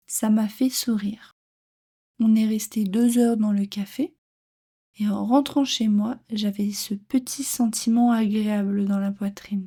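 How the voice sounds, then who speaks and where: A woman speaks very slowly in a fairly high, somewhat breathy voice with a dark, mellow tone and fairly even intonation. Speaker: French teacher. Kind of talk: reading aloud; tutorial. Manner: clear.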